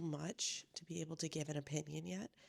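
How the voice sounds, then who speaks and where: Quietly and at a moderate pace, a woman speaks with a dry, close sound and no echo. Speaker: book vlogger. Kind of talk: casual vlog update. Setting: at home, others asleep. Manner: quiet, talking low.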